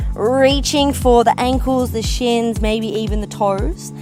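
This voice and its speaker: A woman's fairly slow speech with music in the background. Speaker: pilates instructor. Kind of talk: workout class instruction.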